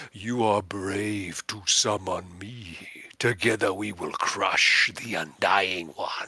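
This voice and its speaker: A man uses a put-on character voice, raspy and rumbling at a fairly low pitch. He speaks at a very slow pace. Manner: commanding, ominous.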